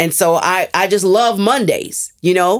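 Here a woman speaks at a fairly slow pace. Her pitch variation is ordinary. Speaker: former radio ad saleswoman and entrepreneur. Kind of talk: interview. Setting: studio.

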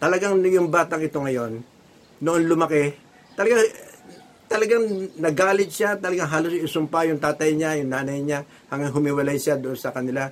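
A plain, everyday voice from a man, fairly high in pitch, with ordinary pitch variation. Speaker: lay preacher. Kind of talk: sermon.

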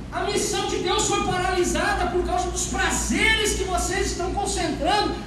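A loud voice in a Brazilian accent moves at a fairly slow pace with an animated tone. Background noise is noticeable. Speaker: pastor. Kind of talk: sermon. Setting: church. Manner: loud, fervent preacher, tends to raise voice; animated, emphatic preaching in full flow, quoting God's words with rhetorical repetition.

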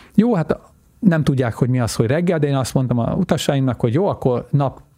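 A man at a very fast pace, fairly high in pitch. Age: 50s. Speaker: world traveler. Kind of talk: interview. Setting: studio.

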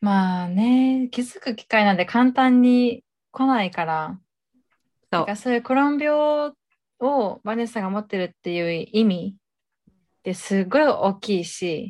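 In a very clean recording with a silent background, a woman speaks at a fairly slow pace and a fairly high pitch. She has an ordinary speaking voice with lively intonation. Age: 20s. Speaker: podcast co-host. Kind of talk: casual chat.

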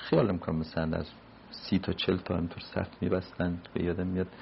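Somewhat breathy, a man with a very deep, low pitch talks at a very fast pace. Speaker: retired diplomat. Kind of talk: oral history interview.

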